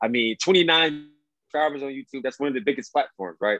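A man with an American accent has an ordinary speaking voice, pitched fairly high. His intonation is lively and his pace fairly quick. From Cleveland, Ohio. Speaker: podcast host, former college football player. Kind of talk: casual interview chat.

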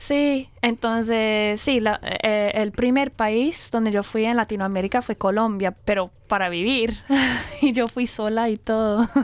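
Over noticeable background noise, a woman with a fairly high pitch speaks at a fairly slow pace with very even loudness. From Australia, Brisbane. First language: English (speaking Spanish). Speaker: Spanish and English teacher. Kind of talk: casual radio interview. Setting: radio studio. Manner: lively, upbeat; halting, with fillers.

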